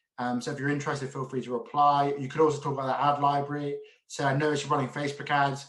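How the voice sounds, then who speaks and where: The pace here is very fast. A man talks with a fairly high pitch. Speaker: agency owner and business coach. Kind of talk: tutorial.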